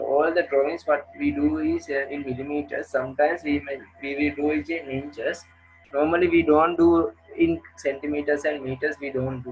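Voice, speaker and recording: A man at a moderate pace, fairly high in pitch, with fairly even intonation and music in the background. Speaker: engineering lecturer. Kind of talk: lecture. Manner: halting.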